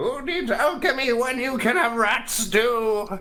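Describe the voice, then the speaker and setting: In a put-on character voice with fairly high pitch, the speaker goes at a fairly slow pace over light background noise. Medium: actual play. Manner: rambling, erratic outbursts.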